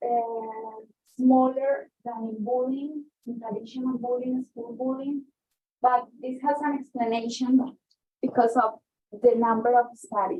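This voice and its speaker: Speaking very slowly with long, frequent pauses, a woman with a Spanish accent keeps a high pitch and fairly even intonation. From Colombia. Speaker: guest speaker, researcher. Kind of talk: lecture. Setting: talk with in-person and remote audience. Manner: halting, with fillers and self-corrections.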